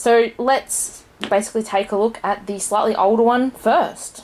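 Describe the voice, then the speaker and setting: A woman speaks with an Australian accent. Noticeable background noise is present. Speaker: board game reviewer. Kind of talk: casual review.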